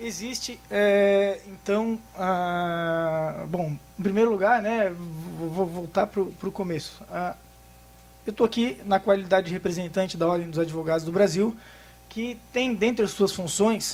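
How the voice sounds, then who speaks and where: This man's voice sits at a high pitch. His intonation stays fairly even. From Florianópolis, southern Brazil. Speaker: tax lawyer. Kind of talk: conference talk. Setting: workshop with audience. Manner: fast; hesitant, many fillers.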